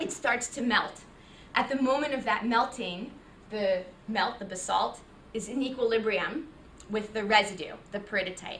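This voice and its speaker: With audible room echo, a woman talks at a moderate pace, leaving long, frequent pauses. Her pitch is fairly high, with ordinary pitch variation. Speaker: visiting geoscientist giving a seminar. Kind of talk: academic seminar talk.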